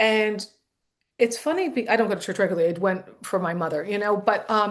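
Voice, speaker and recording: An American accent marks this woman's ordinary speaking voice at medium pitch. She talks at a fairly quick pace with ordinary pitch variation. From US. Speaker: comedian. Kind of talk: casual chat. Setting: podcast panel.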